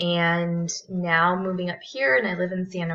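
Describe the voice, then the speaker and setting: A woman speaks with a Californian accent. Her pitch sits fairly low. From Southern California. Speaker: graduate counseling student. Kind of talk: self-introduction video. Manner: halting, many fillers.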